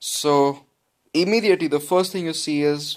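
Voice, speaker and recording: A man speaks with an Indian accent on a very clean recording with a silent background. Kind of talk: casual gameplay commentary. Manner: casual, chatty.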